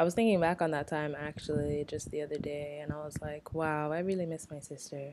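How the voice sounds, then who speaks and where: A soft-spoken woman talks at a fairly quick pace in a very deep, low pitch. Her intonation is monotone and flat. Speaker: podcast co-host. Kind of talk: casual chat.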